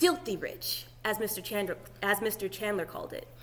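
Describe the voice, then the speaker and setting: Amid noticeable background noise and audible room echo, a woman with a fairly high pitch talks at a very fast pace. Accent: American. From Georgia, US South. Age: 20s. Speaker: graduate student teacher. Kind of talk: lecture. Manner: casual, many fillers.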